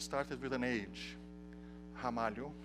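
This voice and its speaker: A man with a Portuguese accent, audible room echo around him. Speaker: software developer and tutorial instructor. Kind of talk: technical tutorial. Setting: conference tutorial room with audience. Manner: halting, with frequent restarts.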